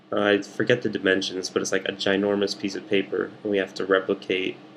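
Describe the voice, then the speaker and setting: Quietly, a man speaks at a moderate pace. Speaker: art student vlogger. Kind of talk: casual video diary.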